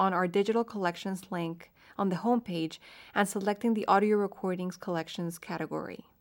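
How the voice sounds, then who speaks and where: A woman with a Spanish accent and ordinary pitch variation, in a very clean recording with a silent background. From Colombia, Bogotá. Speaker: librarian and podcast co-host. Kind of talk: scripted narration.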